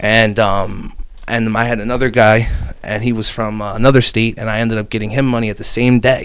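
Over noticeable background noise, a man with an American accent talks fairly quickly at a medium pitch in a flat monotone. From New Jersey. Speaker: business lending broker. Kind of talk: casual interview chat. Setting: in person, Hamilton, New Jersey.

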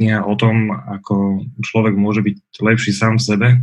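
Speaking at a moderate pace, a man with medium pitch has an unremarkable speaking voice. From Bratislava, western Slovakia. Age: 30s. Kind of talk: interview conversation.

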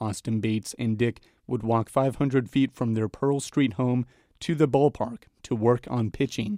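This man talks at a moderate pace with a dark, mellow tone. His pitch is medium and his intonation fairly even. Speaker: podcast reporter and host. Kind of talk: scripted narration.

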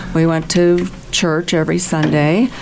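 Music plays in the background as a woman speaks at a fairly slow pace. Her pitch is fairly low and her intonation fairly even. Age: 70s. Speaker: convert to Catholicism, retired, music ministry. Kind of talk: interview, sharing personal faith story. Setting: radio studio.

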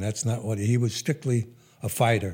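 In an American accent, the voice has a dark, mellow tone and fairly even intonation. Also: man. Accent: slight remnant of Brooklyn. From New York, Brooklyn. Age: 80s+. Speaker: businessman. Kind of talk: interview storytelling. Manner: hesitant with fillers.

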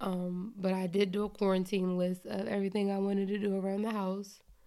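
In an ordinary speaking voice, a woman with an American accent talks at medium pitch and a moderate pace. The recording is very clean, with a silent background. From Philadelphia. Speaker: podcast co-host, parent. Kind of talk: casual chat.

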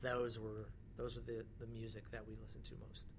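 At a fairly quick pace, a somewhat breathy man with an American accent speaks amid audible room echo. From northern California (small town near Mount Shasta). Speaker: music industry executive. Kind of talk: interview. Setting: basement studio at a music conference.

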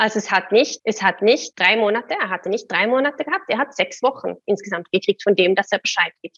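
With a fairly high pitch and ordinary pitch variation, a woman speaks at a fairly quick pace with hardly any pauses, in a dry, close sound with no echo. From Sweden. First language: Swedish (speaking German). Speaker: career coach. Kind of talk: interview. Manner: halting.

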